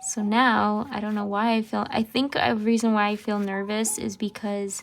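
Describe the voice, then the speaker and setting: A woman at a fairly slow pace, in a monotone, flat intonation, with music in the background. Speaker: journaling YouTuber. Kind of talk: casual chat. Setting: at home. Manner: slow, deliberate; hesitant, many fillers.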